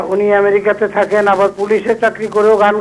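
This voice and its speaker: The speaker is a man with a high pitch. Noticeable background noise runs behind him. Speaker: viewer caller. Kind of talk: call-in question.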